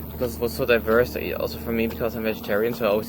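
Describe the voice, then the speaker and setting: At a very fast pace and a fairly low pitch, a man speaks with a German-speaking European accent over noticeable background noise. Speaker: travel vlogger. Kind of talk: casual chat.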